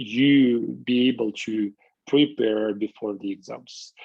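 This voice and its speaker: A man's medium-pitched voice at a very slow pace. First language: Russian. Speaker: university lecturer. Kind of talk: lecture. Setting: video call. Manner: halting, many fillers.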